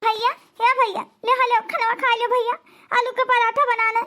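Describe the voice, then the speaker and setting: A woman puts on a squeaky character voice at an extremely high pitch. She keeps a moderate pace with monotone, flat intonation. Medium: cartoon.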